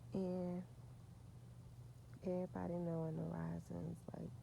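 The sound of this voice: A soft-spoken woman talks slowly in a fairly low, flat monotone with vocal fry.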